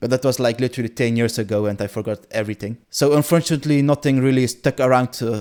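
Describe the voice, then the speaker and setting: A man races along at a very fast pace with hardly any pauses. His medium-pitched voice keeps a fairly even intonation. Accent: Dutch. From Netherlands. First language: Dutch. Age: 20s. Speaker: gaming content creator. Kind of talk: casual vlog monologue. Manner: unscripted, hesitant with fillers.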